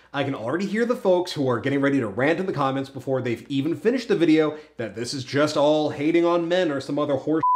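The speech runs at a very fast pace with hardly any pauses. Its intonation is lively. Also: man. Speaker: dating advice host. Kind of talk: advice vlog monologue. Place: studio.

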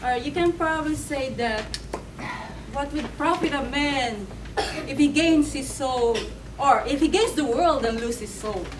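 A woman's high-pitched voice at a moderate pace, with noticeable background noise. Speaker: preacher. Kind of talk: sermon. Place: church. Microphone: camera far.

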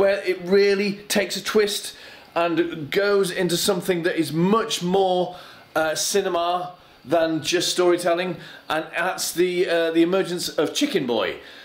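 A man speaks in a high pitch at a fairly slow pace. His intonation stays fairly even. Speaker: vlogger. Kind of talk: casual vlog chat. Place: home room. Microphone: phone near.

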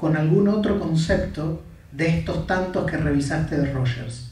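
A man speaks fairly slowly, his pitch swinging very widely. There is audible room echo. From Argentina. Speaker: psychology lecturer and counselor, interviewer; psychology lecturer, interviewer. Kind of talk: interview in front of an audience. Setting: stage with audience. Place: hall.

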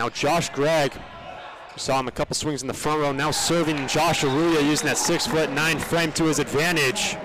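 Noticeable background noise sits behind a man whose loudness is very even and whose intonation is fairly even. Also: fairly high pitch for a man, moderate pace. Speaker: play-by-play commentator. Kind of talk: live sports commentary.

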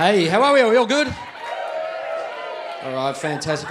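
A man with an Australian accent talks over noticeable background noise. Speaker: stand-up comedian. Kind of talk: stand-up comedy set. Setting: live comedy club. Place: stage. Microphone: handheld.

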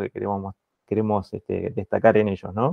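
A man's voice, dry with no echo, over a quiet background. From Argentina. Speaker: meeting moderator. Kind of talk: online meeting moderation. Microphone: earbuds.

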